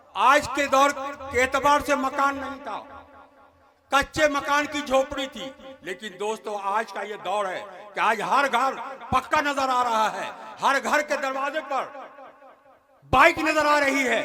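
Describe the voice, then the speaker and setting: A man's raised, projected voice at an extremely high pitch, with ordinary pitch variation, long, frequent pauses and noticeable background noise. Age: 70s. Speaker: religious speaker. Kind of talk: public speech. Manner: halting.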